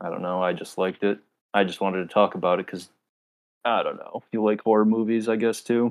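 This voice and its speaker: At a fairly quick pace, a man talks with a fairly low pitch and fairly even intonation. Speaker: podcast co-host. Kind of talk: casual chat. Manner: monotone.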